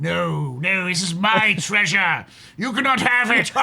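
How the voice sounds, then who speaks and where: A man uses a put-on character voice, pitched high, at a fairly slow pace. There is light background noise behind him. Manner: menacing, possessive.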